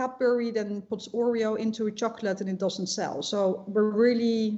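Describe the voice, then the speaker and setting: With hardly any pauses, a woman with a fairly high pitch speaks at a moderate pace and with fairly even intonation. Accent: slight Dutch. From Netherlands. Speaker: shop owner. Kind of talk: interview. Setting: live online broadcast. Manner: hesitant, many fillers.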